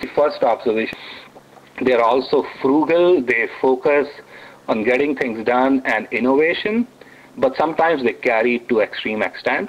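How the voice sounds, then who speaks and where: Amid noticeable background noise, a man with an Indian accent speaks with ordinary pitch variation. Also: medium pitch for a man, moderate pace. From India, New Delhi. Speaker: author and technologist. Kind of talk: radio interview. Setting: radio studio.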